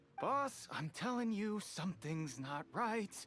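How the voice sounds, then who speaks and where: A woman's raspy, nervous-sounding put-on character voice, medium in pitch and fairly slow, over clear background noise. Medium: video game. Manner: nervous, stammering.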